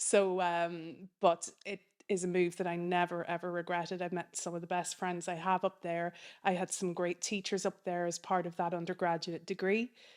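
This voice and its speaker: With a Donegal accent, a woman speaks at a fairly low pitch in a monotone, flat intonation on a very clean recording with a silent background. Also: moderate pace. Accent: Donegal Irish. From Ireland, County Donegal. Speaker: film program manager. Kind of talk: interview.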